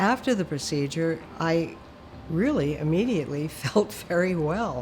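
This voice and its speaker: With audible room echo around her, a woman with an American accent speaks at a fairly slow pace in a very deep, low pitch. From New York. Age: 80s+. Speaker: heart patient. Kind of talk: testimony.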